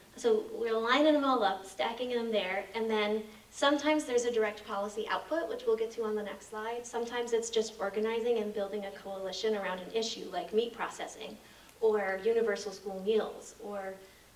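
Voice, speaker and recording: A woman speaks at a fairly quick pace in a fairly high pitch with fairly even intonation, over noticeable background noise and with audible room echo. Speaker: co-op policy and advocacy staff. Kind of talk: presentation at annual meeting. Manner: fast; many filler ums.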